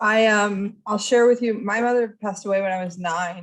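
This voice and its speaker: A woman uses a normal speaking voice at a medium pitch. She talks at a moderate pace with ordinary pitch variation. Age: 40s. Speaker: workshop presenter. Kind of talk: online workshop discussion.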